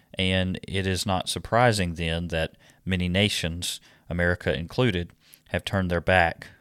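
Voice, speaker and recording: Dry and close with no echo, a man's very deep, low voice moves at a fairly slow pace on a very clean recording with a silent background. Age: 30s. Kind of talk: scripted monologue. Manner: hesitant with frequent fillers.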